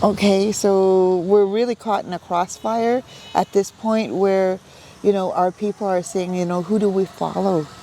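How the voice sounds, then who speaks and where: Noticeable background noise fills the recording. Through it comes a woman's medium-pitched voice. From Canada, British Columbia coast (Coast Salish). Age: 60s. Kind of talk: interview. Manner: halting, many fillers.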